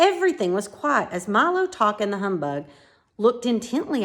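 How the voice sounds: The voice reads aloud naturally. Nothing about the delivery is forced.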